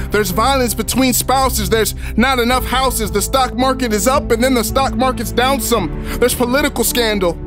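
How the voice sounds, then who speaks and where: Music in the background behind a man talking at a fairly quick pace, with hardly any pauses and very even loudness. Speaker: spoken word poet. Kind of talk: spoken word poetry performance.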